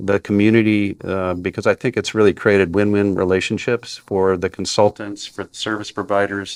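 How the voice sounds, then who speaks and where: A man talks at a moderate pace with a fairly low pitch and monotone, flat intonation. The sound is dry and close with no echo, and the background is quiet. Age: 60s. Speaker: industry analyst and company CEO. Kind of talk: podcast interview. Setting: recorded in Chicago.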